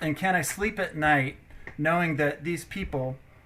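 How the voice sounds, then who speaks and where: A man's bright, sharp tone sits at a fairly high pitch with ordinary pitch variation. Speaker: city council member. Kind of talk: council meeting debate. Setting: video call. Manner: halting, stuttering.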